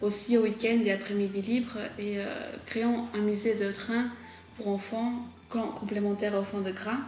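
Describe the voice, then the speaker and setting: In a room with audible echo and noticeable background noise, a woman speaks fairly slowly at a fairly high pitch, monotone and flat, leaving long, frequent pauses. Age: 20s. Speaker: local political candidate. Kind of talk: campaign statement. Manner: hesitant, many fillers.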